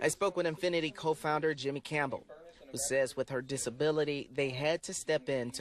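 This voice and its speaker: Here is a plain, everyday voice from a man with a fairly high pitch. His intonation stays fairly even at a fairly quick pace. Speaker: TV news reporter. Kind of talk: TV news reporter package and live shot delivery.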